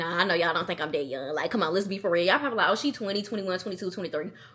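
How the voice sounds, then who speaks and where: A woman talks very fast in a Southern US accent. Her tone is animated, and her pitch swings very widely. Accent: Southern country. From US South, Athens, Georgia. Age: 20s. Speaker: content creator. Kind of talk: casual vlog Q&A. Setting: at home alone.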